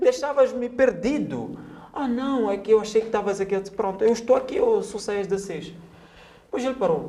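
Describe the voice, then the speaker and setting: With a Mozambican accent, a man speaks at a high pitch and a fairly quick pace in an animated tone with ordinary pitch variation. Noticeable background noise runs underneath. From Mozambique, Maputo area. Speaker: writer and journalist. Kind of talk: casual interview chat, storytelling.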